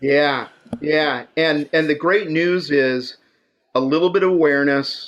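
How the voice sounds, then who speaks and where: Fairly even intonation and fairly high pitch from a man with a plain, everyday voice. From Idaho, US. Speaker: innovation consultant and author. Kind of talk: casual interview.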